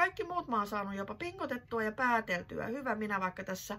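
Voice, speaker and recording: Here a woman speaks at a moderate pace. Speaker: knitting vlogger. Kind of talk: casual vlog chat. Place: home room. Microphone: phone near.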